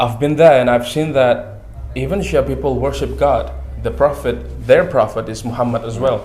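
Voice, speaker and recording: Audible echo fills the room around the speaker. The man keeps to a moderate pace. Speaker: student. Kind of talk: talk show interview. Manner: halting.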